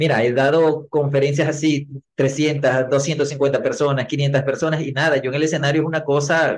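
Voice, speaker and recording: A man talks in a plain, everyday voice, fairly high in pitch. His intonation stays fairly even at a moderate pace. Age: 40s. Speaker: marketing trainer and speaker. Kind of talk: interview.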